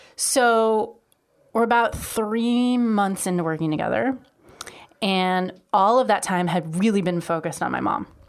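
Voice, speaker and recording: A woman with an unremarkable speaking voice at a fairly slow pace, on a very clean recording with a silent background. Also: medium pitch for a woman, ordinary pitch variation. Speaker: guest. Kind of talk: casual chat.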